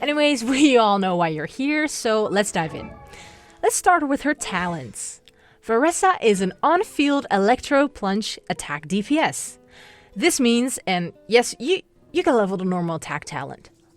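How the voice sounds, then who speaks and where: With music in the background, a woman speaks in an upbeat, playful tone. Her pitch swings very widely at a fairly slow pace. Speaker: voice-over artist. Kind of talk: playful game guide narration.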